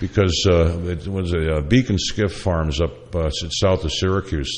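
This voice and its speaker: Over noticeable background noise, a speaker with an American accent talks at a moderate pace with fairly even intonation. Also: man. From upstate New York. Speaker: chef and radio host. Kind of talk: casual chat.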